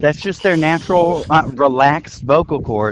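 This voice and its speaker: A man's fairly high voice with an American accent, at a moderate pace, over noticeable background noise. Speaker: podcast host. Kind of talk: casual chat. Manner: animated.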